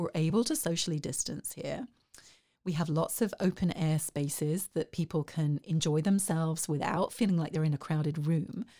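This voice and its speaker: A woman with an English accent, fairly low in pitch and dark and mellow in tone, at a moderate pace with ordinary pitch variation, on a very clean recording with a silent background. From southeast England. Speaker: arts organization director. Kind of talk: interview. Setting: studio, in person.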